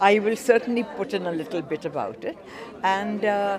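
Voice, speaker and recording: A woman's voice with very wide pitch swings over crowd noise in the background. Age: 80s+. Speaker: art auctioneer. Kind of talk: interview.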